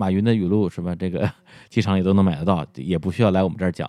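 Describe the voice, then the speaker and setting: A man speaks very fast in a very deep, low pitch with ordinary pitch variation and a dark, mellow tone. The sound is dry and close with no echo, the recording very clean, the background silent. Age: 40s. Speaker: podcaster. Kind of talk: interview.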